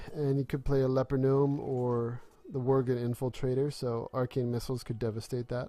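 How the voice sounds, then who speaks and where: With music in the background, a man of fairly high pitch talks at a moderate pace. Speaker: gaming commentator. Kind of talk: gameplay commentary. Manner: rising intonation at sentence ends; hesitant, many filler ums.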